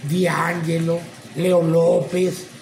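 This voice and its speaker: Light background noise and audible room echo surround a man speaking at a high pitch. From Mexico. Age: 50s. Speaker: retired professional wrestler. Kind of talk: interview testimony. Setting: at the guest's place. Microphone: phone near.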